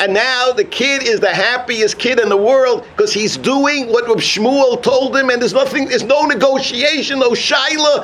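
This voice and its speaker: With an American accent, a man talks at a moderate pace in an extremely high pitch with ordinary pitch variation. Audible room echo and noticeable background noise fill the recording. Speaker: rabbi. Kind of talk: sermon. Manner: animated.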